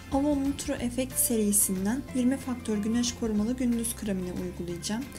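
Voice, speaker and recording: Over clear background music, a woman speaks at a moderate pace with fairly even intonation. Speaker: beauty vlogger. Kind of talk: casual tutorial vlog chat. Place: bathroom. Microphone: phone near.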